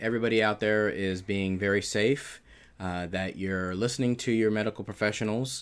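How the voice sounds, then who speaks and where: On a very clean recording with a silent background, a man speaks in a normal speaking voice at a fairly low pitch, with ordinary pitch variation and a moderate pace. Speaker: podcast guest, husband of the host. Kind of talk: casual chat.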